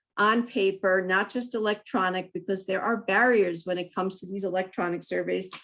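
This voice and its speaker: On a very clean recording with a silent background, a woman uses a normal speaking voice at a medium pitch with fairly even intonation. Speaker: city council candidate. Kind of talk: candidate forum answer. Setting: virtual forum.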